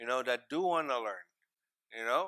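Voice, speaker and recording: In a very clean recording with a silent background, a man of medium pitch speaks with a Maritime Canadian accent and a bright, sharp tone. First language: Mi'kmaq. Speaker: First Nations regional chief. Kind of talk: panel discussion. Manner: hesitant, many fillers.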